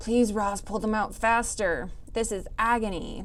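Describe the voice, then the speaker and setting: A female-sounding put-on character voice speaks at a fairly high pitch. The pace is moderate, and there is clear background noise. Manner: pained, through gritted teeth.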